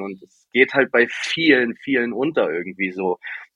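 Speaking at a fairly slow pace, a man has a medium pitch and an unremarkable speaking voice. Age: 30s. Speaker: DJ and label owner. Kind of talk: casual interview.

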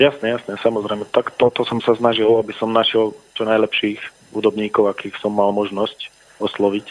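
A man at a fairly low pitch and moderate pace, with monotone, flat intonation. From southern Slovakia, Filakovo/Lučenec area. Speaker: rock musician. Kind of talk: radio interview. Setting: phone call.

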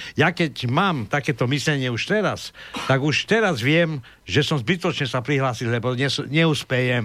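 A man speaks in a plain, everyday voice at a fairly high pitch. His intonation is lively and his pace moderate. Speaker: radio co-host. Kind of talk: political discussion.

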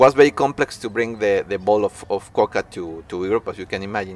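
A man's fairly low pitch at a fairly quick pace. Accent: Spanish. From Mexico. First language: Spanish. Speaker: artist. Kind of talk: talk. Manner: halting.

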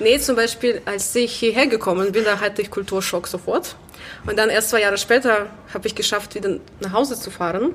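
A woman's fairly high voice at a fairly quick pace, ordinary pitch variation, and noticeable background noise. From Belarus, Minsk. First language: Russian or Belarusian (speaking German). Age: 20s. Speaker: musician and choir organiser. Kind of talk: casual interview. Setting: gallery venue.

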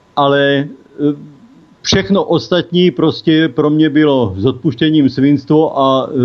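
Here a man speaks at a very slow pace. His voice is fairly high, with ordinary pitch variation. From Czechia, South Moravia. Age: 60s. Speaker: cannabis legalization activist, caregiver father. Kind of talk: interview. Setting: phone call.

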